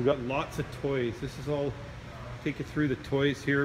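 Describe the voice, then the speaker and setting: Noticeable background noise is heard in this clip. The man's pitch sits fairly high. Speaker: auction house presenter. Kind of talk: sales pitch walkthrough of auction lots, promotional video tour. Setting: walking through warehouse showing items on camera. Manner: casual, friendly, conversational with filler words. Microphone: phone near.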